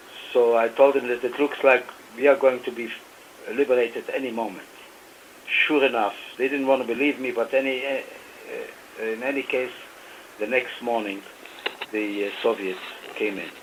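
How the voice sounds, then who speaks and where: A man at medium pitch and moderate pace, fairly even intonation, long, frequent pauses, and noticeable background noise. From Romania. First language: Yiddish and German. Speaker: author and Holocaust survivor. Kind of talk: radio interview. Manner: hesitant, many fillers.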